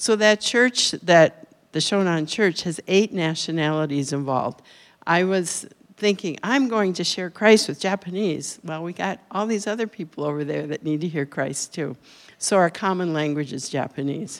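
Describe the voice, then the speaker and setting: A woman speaks in a fairly low pitch with an American accent, at a moderate pace and with lively intonation. Hers is a plain, everyday voice on a very clean recording with a silent background. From Minnesota. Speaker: retiring missionary. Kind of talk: missionary report. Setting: church.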